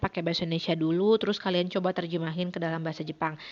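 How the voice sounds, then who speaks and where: Here a woman speaks in a West Javanese accent. Her intonation stays fairly even. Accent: Sundanese accent in her Japanese. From West Java (Sundanese). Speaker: Japanese language teacher. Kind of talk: recorded online lesson. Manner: casual, conversational.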